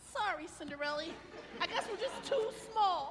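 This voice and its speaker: A put-on character voice with an extremely high pitch moves at a moderate pace against clear background noise. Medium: stage play.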